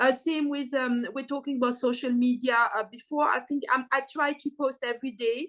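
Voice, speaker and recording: With a French accent and a high pitch, a woman talks at a moderate pace. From French-speaking Switzerland. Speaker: artist. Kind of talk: podcast interview. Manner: hesitant, many fillers.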